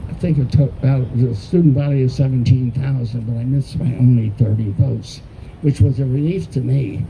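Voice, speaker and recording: Noticeable background noise sits behind a man speaking at a fairly quick pace with an American accent. His voice is medium in pitch with ordinary variation. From US, born Baltimore, studied in Texas. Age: 80s+. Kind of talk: talk to an audience.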